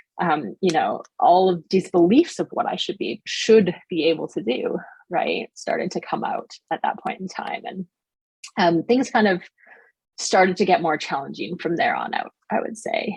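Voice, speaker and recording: A woman with a Canadian accent at a moderate pace, in a dry, close sound with no echo. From Canada. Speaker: positive psychology coach and business founder. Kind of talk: podcast interview. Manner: casual, conversational with many fillers.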